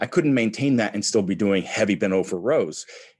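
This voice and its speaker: An unremarkable speaking voice from a man with a fairly low pitch and ordinary pitch variation. The recording is very clean, with a silent background. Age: 40s. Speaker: strength athlete and entrepreneur. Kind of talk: casual interview.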